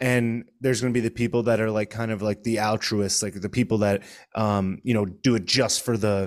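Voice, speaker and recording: In a normal speaking voice, a man talks at medium pitch and a moderate pace with fairly even intonation on a very clean recording with a silent background. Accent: American. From Connecticut. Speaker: political commentator and stand-up comedian. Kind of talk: casual chat.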